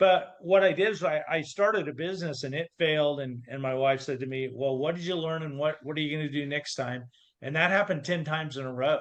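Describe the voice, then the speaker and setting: A man talks at a fairly quick pace in a fairly high pitch with ordinary pitch variation and a plain, everyday voice. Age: 60s. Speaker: confidence coach. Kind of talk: interview.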